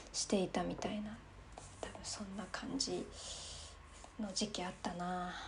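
A woman with vocal fry speaks at a medium pitch in a dark, mellow tone. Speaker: solo podcast host. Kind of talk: casual monologue while drinking wine.

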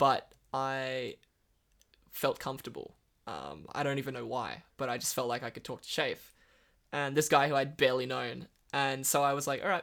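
Against a very clean recording with a silent background, a man with an Australian accent speaks at a medium pitch in a bright, sharp tone, with fairly even intonation and long, frequent pauses. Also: moderate pace. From northern Western Australia. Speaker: recovering addict sharing his story. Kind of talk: testimony.

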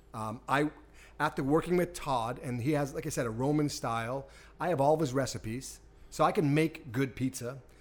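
Recorded very cleanly against a silent background, a man with an American accent uses a normal speaking voice at a fairly high pitch, a moderate pace, and ordinary pitch variation. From Boston area, Massachusetts. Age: 50s. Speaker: pizza equipment business owner. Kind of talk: casual interview. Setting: test kitchen.

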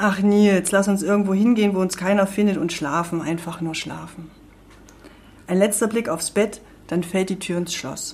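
A woman's medium-pitched, unremarkable speaking voice with fairly even intonation at a moderate pace. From Thuringia, Erfurt. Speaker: author. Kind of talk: reading aloud.

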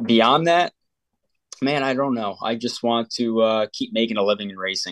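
An unremarkable speaking voice from a man with an American accent, medium in pitch, with ordinary pitch variation at a moderate pace and a dry, close sound with no echo against a quiet background. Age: 20s. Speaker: race car driver. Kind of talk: interview.

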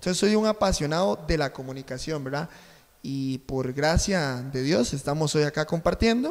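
A man with a normal speaking voice talks at a moderate pace and ordinary pitch variation. The recording is very clean, with a silent background. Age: 30s. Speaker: journalism student and co-host. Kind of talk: casual chat.

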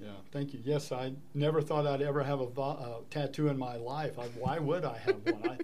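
A plain, everyday voice moves at a moderate speed, its intonation fairly even. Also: man, fairly high pitch for a man. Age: 60s. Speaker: wildlife sanctuary volunteer and artist. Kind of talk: interview.

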